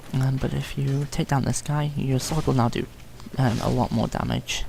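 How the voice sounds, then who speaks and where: Medium-pitched male speech against noticeable background noise. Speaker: gaming youtuber. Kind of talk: gameplay commentary tutorial. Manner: hesitant, many ums; mumbling.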